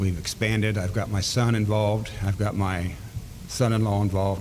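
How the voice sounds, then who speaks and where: A man with an American accent, fairly low in pitch, at a moderate pace amid noticeable background noise and audible room echo. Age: 60s. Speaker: farmer, school board candidate. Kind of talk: candidate forum statement. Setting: public forum with audience.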